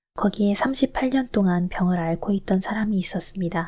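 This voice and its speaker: Somewhat breathy and dark, mellow in tone, a woman's medium-pitched voice moves at a moderate pace on a very clean recording with a silent background. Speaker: scripture reader. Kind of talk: calm Bible reading. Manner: shifting pitch.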